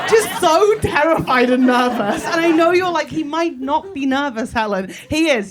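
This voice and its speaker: A woman speaks at a moderate pace with very wide pitch swings and hardly any pauses. There is noticeable background noise. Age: 30s. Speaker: comedian. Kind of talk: stand-up. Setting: stage with audience. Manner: animated.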